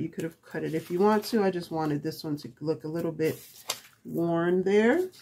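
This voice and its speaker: Fairly low pitch from a woman, with noticeable background noise around her. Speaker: crafting YouTuber. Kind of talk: tutorial. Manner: soft-spoken; halting, talking to herself.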